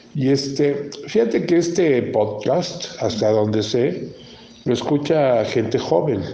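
A man at a fairly high pitch and a very slow pace, with lively intonation and very even loudness, amid noticeable background noise and audible room echo. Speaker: podcast host. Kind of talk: casual chat.

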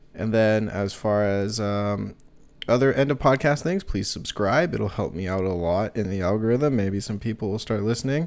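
At a moderate pace, a man speaks in a plain, everyday voice, fairly low in pitch with ordinary pitch variation. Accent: American. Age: 20s. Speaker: podcast host. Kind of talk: casual interview; solo sign-off monologue. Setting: indoors by a heater.

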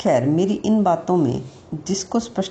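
A woman speaks at a medium pitch with a dark, mellow tone. Her voice is somewhat breathy and her intonation is lively. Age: 60s. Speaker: mental wellness teacher. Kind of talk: reflective talk.

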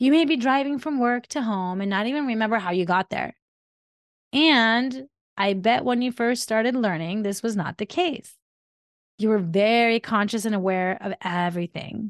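A woman's unremarkable speaking voice with an American accent, fairly high in pitch, lively in intonation, at a moderate pace, in a dry, close sound with no echo and a quiet background. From Colorado, US, with time in Iran. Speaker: wellness podcast host. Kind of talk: solo podcast monologue.

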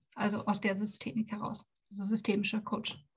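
A woman's fairly high voice comes across as somewhat breathy. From former East Germany. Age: 40s. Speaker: life coach. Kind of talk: podcast interview.

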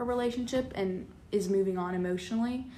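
With audible room echo, a woman talks at a medium pitch and moderate pace, her pitch varying in an ordinary way. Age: 20s. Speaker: nursing student. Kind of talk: casual interview chat.

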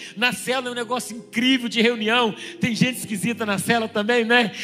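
Fairly quick, raised and projected delivery with fairly even intonation. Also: man. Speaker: pastor. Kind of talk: sermon.

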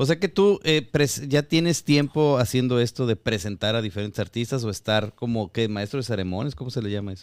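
With an unremarkable speaking voice, a man talks at a fairly quick pace in a medium pitch, his intonation lively. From Guadalajara, Mexico. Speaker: podcast host. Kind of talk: casual interview.

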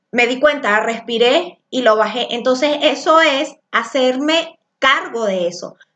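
A woman speaks loudly at a high pitch. Her pitch variation is ordinary. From Venezuela. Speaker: spiritual coach and tarot teacher. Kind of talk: live-streamed spiritual class.

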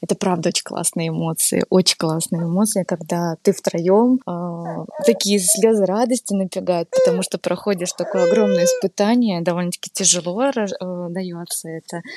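In a dark, mellow tone, a woman at medium pitch speaks at a moderate pace, with dry, close sound and no echo. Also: ordinary pitch variation. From Belarus, Novopolotsk. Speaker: new mother. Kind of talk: casual interview.

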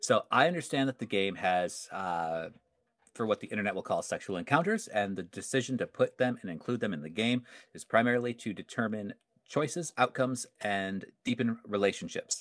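In a very clean recording with a silent background and a dry, close sound with no echo, a man with a medium pitch and a plain, everyday voice talks at a fairly quick pace with lively intonation. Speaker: podcast host, game master. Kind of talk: casual chat.

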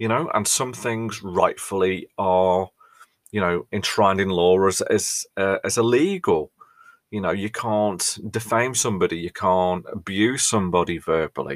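The speaker talks at a fairly slow pace with a British accent. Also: man, fairly low pitch for a man, ordinary pitch variation. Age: 40s. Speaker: podcast host and mental health first aid trainer. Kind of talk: casual monologue.

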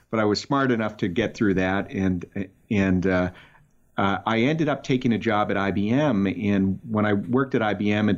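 With a slight Boston accent, the speaker talks at a fairly quick pace and ordinary pitch variation. The background is quiet. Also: man. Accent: barely any Boston. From Boston, Massachusetts. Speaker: tech startup founder and marketing executive. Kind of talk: interview. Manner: halting, repeats words.

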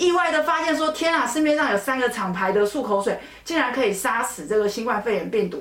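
Amid noticeable background noise and audible room echo, the speaker talks fairly quickly in an animated tone with very wide pitch swings. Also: woman, high pitch for a woman. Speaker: dermatologist. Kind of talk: educational podcast chat.

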